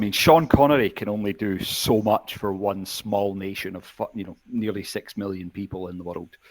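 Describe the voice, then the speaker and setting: A man speaks with a Scottish accent at a fairly low pitch. His pace is moderate, with hardly any pauses. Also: big swings in loudness. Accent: Scottish, understandable. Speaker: podcast guest. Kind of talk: casual chat.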